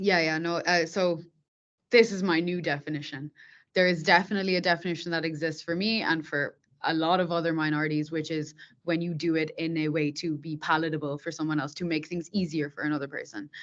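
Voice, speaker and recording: A woman with an Irish accent, fairly even intonation and a fairly quick pace, over a quiet background. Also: fairly low pitch for a woman. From Ireland, Dublin. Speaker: software tech lead. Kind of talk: podcast interview.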